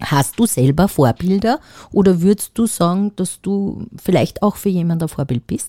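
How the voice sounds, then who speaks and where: At a moderate pace, a woman with a medium pitch and a dark, mellow tone speaks with lively intonation. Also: dry, close sound with no echo. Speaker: podcast co-host. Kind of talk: casual chat.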